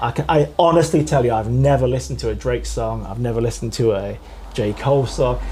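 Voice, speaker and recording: Delivered at a very fast pace in an English Midlands accent, the speech carries audible room echo. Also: man. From East Midlands, England (Nottingham). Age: 40s. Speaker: author. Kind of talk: interview chat.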